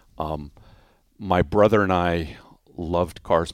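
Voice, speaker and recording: A very deep, low-pitched man's voice with fairly even intonation, on a very clean recording with a silent background and dry, close sound with no echo. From US (army brat, moved often). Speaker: motorsports company president. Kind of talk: interview. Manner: halting, many repetitions.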